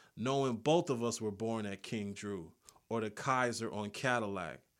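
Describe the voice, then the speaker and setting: A plain, everyday voice from a man with an American accent, medium pitch, ordinary pitch variation and a fairly slow pace, on a very clean recording with a silent background. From South Los Angeles. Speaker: poet and creative writing professor. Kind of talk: poetry performance; interview.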